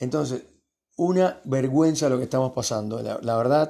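This man's voice has a dark, mellow tone, sitting at a fairly high pitch with ordinary pitch variation. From Cuba. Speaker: podcast host. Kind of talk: late-night monologue. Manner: hesitant, many fillers.

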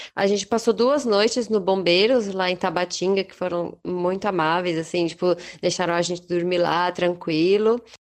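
A woman with a plain, everyday voice, ordinary pitch variation and a moderate pace. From Brazil. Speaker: traveller and artisan. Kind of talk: casual interview.

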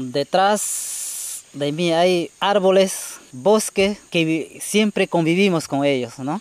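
At a very slow pace with hardly any pauses, a man speaks in a Peruvian Amazon accent. His pitch is high with ordinary variation, and background noise is noticeable. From Peruvian Amazon, Shipibo community. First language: Shipibo-Konibo (speaking Spanish). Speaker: community forest patroller. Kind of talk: interview testimony. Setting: outdoors in the forest.

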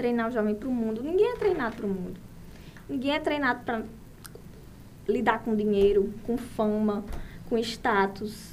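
A woman with a fairly high pitch and ordinary pitch variation speaks at a moderate pace, leaving long, frequent pauses, with audible room echo. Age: 30s. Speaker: saleswoman and course participant. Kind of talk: casual chat.

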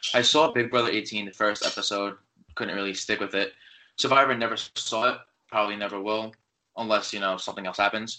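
A man with an American accent talks at a fairly quick pace in a normal speaking voice. His pitch is fairly low and his intonation fairly even. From New York. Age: 20s. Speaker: college student and fan account runner. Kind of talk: casual chat.

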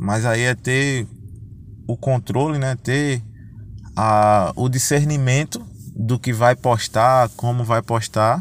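At a very slow pace with long, frequent pauses, a man speaks at medium pitch with fairly even intonation. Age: 20s. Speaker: football referee. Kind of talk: interview. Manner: halting, frequent fillers.

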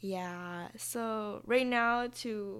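Recorded very cleanly against a silent background, a woman speaks with a fairly high pitch and fairly even intonation. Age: 20s. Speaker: podcast host, college student. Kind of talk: casual solo monologue. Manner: informal, laughing often.

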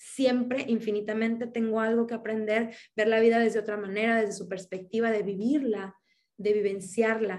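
Fairly high, flat, monotone speech from a woman at a moderate pace. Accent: Mexican. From Mexico. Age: 30s. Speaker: akashic records reader. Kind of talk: interview. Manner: halting.

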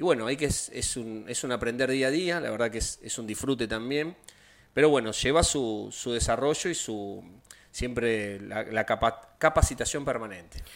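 A man talks at a moderate pace in an unremarkable speaking voice, with medium pitch and ordinary pitch variation. The recording is very clean, with a silent background. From Argentina, Rosario. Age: 50s. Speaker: taekwondo instructor. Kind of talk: interview.

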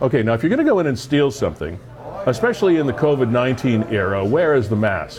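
There is noticeable background noise as a man talks at a fairly quick pace with lively intonation. His pitch is medium and his loudness very even. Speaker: web show host. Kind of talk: casual chat.

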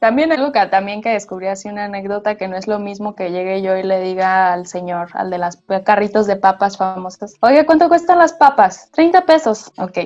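A woman with a northern Mexican accent, medium pitch, lively intonation and hardly any pauses. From northern Mexico. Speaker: theatre artist. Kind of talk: casual chat.

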